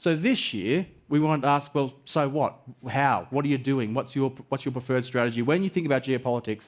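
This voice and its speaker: With an Australian accent, a man of medium pitch talks at a fairly quick pace, with ordinary pitch variation and very even loudness, on a very clean recording with a silent background. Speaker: event moderator and research presenter. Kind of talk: conference presentation. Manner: animated.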